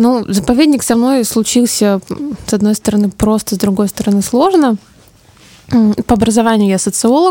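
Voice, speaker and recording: A woman with a fairly high pitch speaks at a moderate pace, her loudness very even and her pitch varying in an ordinary way. She leaves long, frequent pauses, and there is noticeable background noise. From Siberia, Omsk. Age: 30s. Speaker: social researcher. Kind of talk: interview. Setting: studio.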